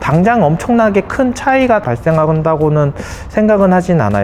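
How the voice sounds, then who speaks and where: There is noticeable background noise as a man talks at a moderate pace. His pitch swings very widely. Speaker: accountant. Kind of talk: interview.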